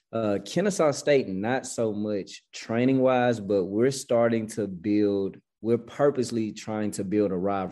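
With hardly any pauses, a man speaks at a fairly slow pace in a dark, mellow tone over a quiet background. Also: fairly low pitch for a man, ordinary pitch variation. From Memphis, Tennessee (US South). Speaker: college cross country head coach. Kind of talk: interview.

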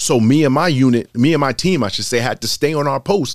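With an American accent and a normal speaking voice, a man talks at a moderate pace in a fairly high pitch with lively intonation, the sound dry and close with no echo. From Boston. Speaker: police lieutenant and army veteran. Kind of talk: casual interview chat.

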